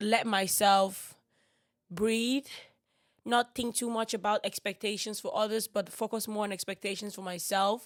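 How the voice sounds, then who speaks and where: The woman speaking has a fairly high pitch with ordinary variation. Her voice sounds dry and close, with no echo. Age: 20s. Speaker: podcast host. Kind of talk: casual chat. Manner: animated.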